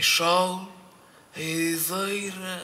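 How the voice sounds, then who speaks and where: A man's raised, projected voice carries a high pitch. His intonation stays monotone and flat. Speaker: poetry reader. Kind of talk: poetry reading. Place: hall. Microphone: camera far.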